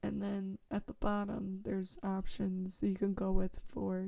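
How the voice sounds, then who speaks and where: A woman talks at a moderate pace in a breathy voice with a dark, mellow tone. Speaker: music producer and composer. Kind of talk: tutorial. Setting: home basement recording setup.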